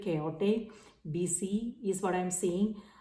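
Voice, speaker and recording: This woman's speech is very slow. Echo from the room is audible. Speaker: tarot reader. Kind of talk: tarot reading monologue. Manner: many fillers, halting.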